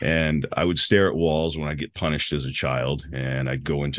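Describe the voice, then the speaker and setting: A man's very deep, low voice with vocal fry at a fairly quick pace. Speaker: meditation coach. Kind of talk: casual interview.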